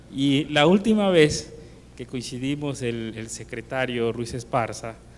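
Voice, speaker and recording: This man's loudness swings in big ways. He talks at a fairly slow pace. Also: medium pitch for a man, ordinary pitch variation. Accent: Yucatán. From Mexico, Yucatán. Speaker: industry chamber president. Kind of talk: formal thanks speech.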